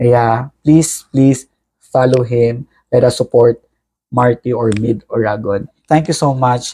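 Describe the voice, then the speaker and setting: Very slow and very even in loudness, a man at medium pitch speaks in a dark, mellow tone with fairly even intonation and a dry, close sound with no echo. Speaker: podcast host, OFW. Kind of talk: interview.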